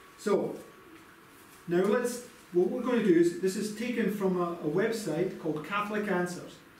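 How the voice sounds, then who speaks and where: A man with a high pitch speaks at a moderate pace with long, frequent pauses. His pitch varies in an ordinary way, and the room echo is audible. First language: English (speaking German). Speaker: preacher; lay preacher teaching a Bible study. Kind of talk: sermon. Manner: halting. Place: home room.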